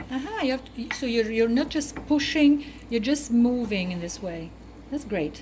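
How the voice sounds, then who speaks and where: A high-pitched woman at a moderate pace, lively in intonation, with audible room echo and noticeable background noise. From Naples, southern Italy. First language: Italian. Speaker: cooking show co-host. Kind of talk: cooking demonstration. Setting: kitchen.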